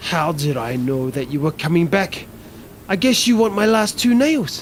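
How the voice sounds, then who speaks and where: Over clear background noise, a cartoonish character voice at middle pitch moves along at a moderate pace. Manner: grand, imperious.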